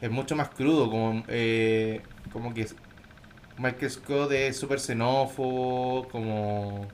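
A man speaks very slowly at a medium pitch, his intonation fairly even. Noticeable background noise sits behind him. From Chile, Temuco area. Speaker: podcast co-host. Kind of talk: casual chat.

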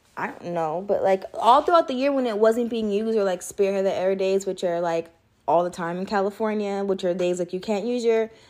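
A woman with a normal speaking voice, medium in pitch, at a fairly quick pace. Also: ordinary pitch variation. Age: 20s. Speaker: podcast co-host. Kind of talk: casual chat.

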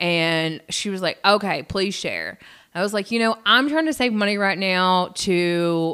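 In a Southern US accent, a woman speaks with a bright, sharp tone on a very clean recording with a silent background. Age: 40s. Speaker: podcast co-host. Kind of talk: casual chat.

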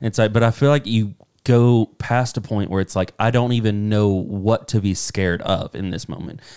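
Here is a man with an unremarkable speaking voice at a fairly low pitch. The sound is dry and close, without echo. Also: fairly even intonation, moderate pace. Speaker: podcast co-host. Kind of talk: casual chat.

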